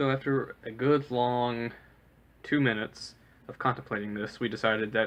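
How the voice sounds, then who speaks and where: This man has a slight Southern US accent, a medium pitch and fairly even intonation. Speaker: storyteller. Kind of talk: personal storytelling. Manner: casual, with frequent filler uhs.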